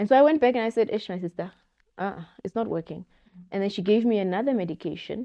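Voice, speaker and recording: The speech runs at a very fast pace with ordinary pitch variation. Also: woman, medium pitch for a woman. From Namibia. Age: young. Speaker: media professional. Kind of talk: podcast interview answer. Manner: candid.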